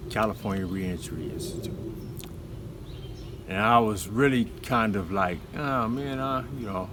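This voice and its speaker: Audible room echo surrounds a man with a fairly low pitch and ordinary pitch variation. He speaks at a fairly slow pace with long, frequent pauses. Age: 60s. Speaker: formerly incarcerated man sharing his story. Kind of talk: personal testimony. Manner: hesitant, many fillers.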